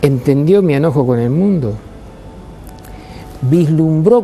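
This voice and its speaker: Music in the background behind a man with a fairly high pitch, lively intonation and a fairly slow pace. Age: 80s+. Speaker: retired teacher. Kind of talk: video monologue. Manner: formal.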